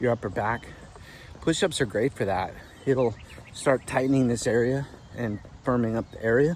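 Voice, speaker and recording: Pitch varies in an ordinary way, and the pace holds moderate. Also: man. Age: 60s. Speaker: fitness vlogger. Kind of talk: casual talk to camera.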